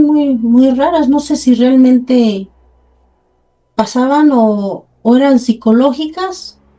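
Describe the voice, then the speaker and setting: This woman speaks very slowly in a high pitch, her dark, mellow tone carrying ordinary pitch variation. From Mexico, Puebla. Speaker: host's mother, storyteller. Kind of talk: casual chat, anecdotes.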